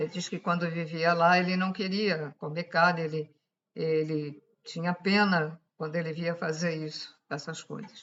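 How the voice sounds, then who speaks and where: A woman talks at a fairly low pitch and a fairly slow pace. Her intonation is monotone and flat. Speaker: spiritual channel host. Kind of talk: esoteric talk to camera. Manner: speaking louder than usual; halting.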